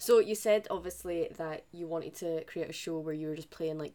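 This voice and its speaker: Fairly low in pitch, a woman talks at a fairly quick pace with fairly even intonation. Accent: Scottish. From Scotland. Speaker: podcast host. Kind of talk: interview.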